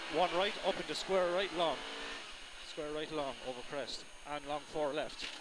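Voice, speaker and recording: A man with an Irish accent speaks at a moderate pace, his voice fairly high for a man, with long, frequent pauses. The sound is dry with no echo, and background noise is noticeable. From Ireland. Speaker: rally co-driver. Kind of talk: rally pacenotes read aloud in-car during a stage. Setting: in a rally car during a stage. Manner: urgent continuous breathless run-on delivery at speed. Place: car. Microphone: helmet.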